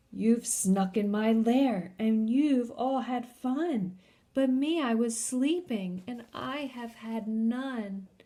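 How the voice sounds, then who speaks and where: A woman's growling, rumbling put-on character voice at a fairly high pitch and a very slow pace. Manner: growling, grumbling, gnarly.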